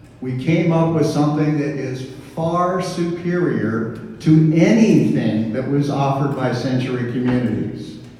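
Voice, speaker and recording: A fairly slow pace with ordinary pitch variation, audible room echo and noticeable background noise. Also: man, fairly high pitch for a man. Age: 60s. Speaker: community association board member. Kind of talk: town hall meeting Q&A.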